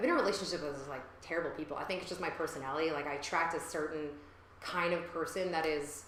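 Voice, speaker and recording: Noticeable background noise surrounds a woman talking at a very fast pace. Her voice is very deep and low, with ordinary pitch variation. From New York. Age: 30s. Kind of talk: interview answer. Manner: casual, many fillers.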